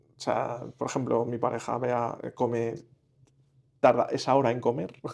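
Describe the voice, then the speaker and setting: A man's voice sits at a medium pitch. He speaks at a fairly slow pace. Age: 40s. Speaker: patient seeking nutrition advice. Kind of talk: consultation. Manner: halting.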